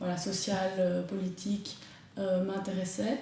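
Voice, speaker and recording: In a room with audible echo and noticeable background noise, a woman talks at a very slow pace with a medium pitch. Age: 20s. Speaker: anthropology graduate, union youth worker. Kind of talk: interview. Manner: hesitant, many fillers.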